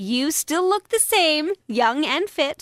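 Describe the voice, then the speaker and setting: In a put-on character voice, a woman speaks high and squeaky at a very slow pace, her pitch swinging very widely, with a dry, close sound and no echo. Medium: read story. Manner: polite, gracious.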